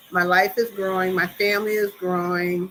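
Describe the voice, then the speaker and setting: Moderate pace in a DC accent, with noticeable background noise. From US, Washington DC. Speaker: YouTuber on expat life. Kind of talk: livestream chat. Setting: solo live stream. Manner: casual, filler-heavy.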